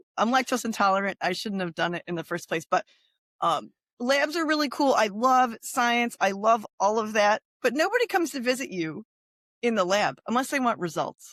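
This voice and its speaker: Loud and fairly high-pitched, a woman talks at a moderate pace with very wide pitch swings in a dry, close sound with no echo. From Central New York. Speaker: pharmacist, healthcare software team lead. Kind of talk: casual podcast interview.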